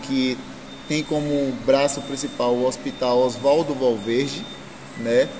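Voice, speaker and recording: A man speaks at a fairly slow pace with a medium pitch and monotone, flat intonation. Noticeable background noise can be heard. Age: 30s. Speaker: local politician. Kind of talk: interview.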